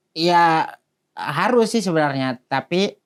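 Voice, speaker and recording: A man speaks at a moderate pace in a plain, everyday voice, his intonation lively. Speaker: guest recounting pesantren life. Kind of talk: casual chat.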